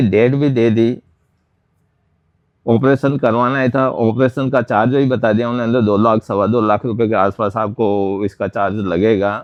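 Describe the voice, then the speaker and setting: This man's voice sits at medium pitch, with ordinary pitch variation and very even loudness. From Udaipur district, Rajasthan, India. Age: 60s. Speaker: patient. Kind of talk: testimony. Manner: halting.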